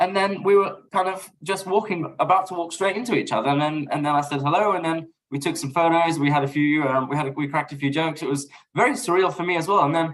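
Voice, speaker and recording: Someone with a London accent talks at a very fast pace. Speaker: podcast guest, basketball fan. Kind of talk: casual chat.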